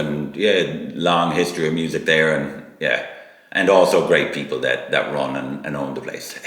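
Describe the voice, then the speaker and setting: Against noticeable background noise, a man with a Kerry accent speaks with fairly even intonation. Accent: Irish (Kerry). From Sneem, County Kerry, Ireland. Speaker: musician. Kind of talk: interview answer.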